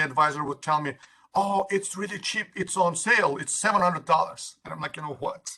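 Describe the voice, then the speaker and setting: A man speaks with a high pitch and a bright, sharp tone. He has a strong Turkish accent and ordinary pitch variation. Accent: Turkish accent, thick. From Turkey. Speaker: university administrator. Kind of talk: workshop presentation. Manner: halting, many fillers.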